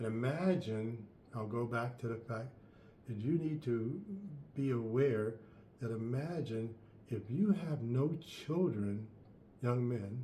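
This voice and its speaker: At a very slow pace with long, frequent pauses, a man speaks at a medium pitch in a dark, mellow, somewhat breathy tone with ordinary pitch variation and audible room echo. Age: 70s. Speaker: life coach. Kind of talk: advice monologue.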